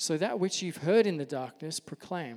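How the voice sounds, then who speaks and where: With an Australian accent, a man talks at a fairly high pitch. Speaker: pastor. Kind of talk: sermon. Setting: church. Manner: soft-spoken.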